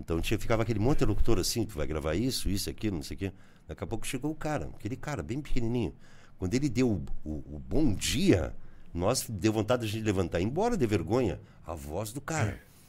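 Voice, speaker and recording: With vocal fry and very wide pitch swings, a man of fairly low pitch talks at a very fast pace. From southern Brazil, Rio Grande do Sul border region (Bagé). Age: 60s. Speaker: journalist and radio broadcaster. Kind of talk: casual interview.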